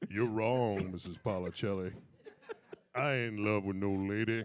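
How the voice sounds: A man puts on a character voice with a fairly low pitch. He speaks at a moderate pace.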